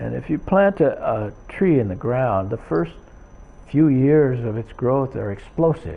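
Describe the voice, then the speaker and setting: Very slow delivery marks this man's speech. His pitch rises and falls over a very wide range. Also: medium pitch for a man. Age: 70s. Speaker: religious teacher, early disciple. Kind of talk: lecture with consecutive interpretation. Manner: halting, with repetitions.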